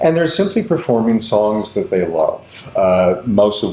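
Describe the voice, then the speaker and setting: At a fairly slow pace, a man with an American accent speaks over noticeable background noise. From Kansas, Kansas City suburbs. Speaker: theater director. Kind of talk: interview.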